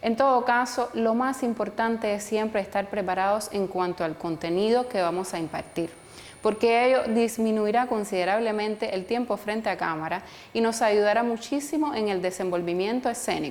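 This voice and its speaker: Here is a woman with an unremarkable speaking voice. She speaks at a fairly high pitch with ordinary pitch variation. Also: moderate pace. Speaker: journalist and photographer. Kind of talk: online course lecture to camera.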